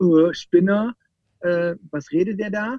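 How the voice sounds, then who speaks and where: A high male voice with pitch that varies in an ordinary way. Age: 30s. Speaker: bus company owner. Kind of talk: interview.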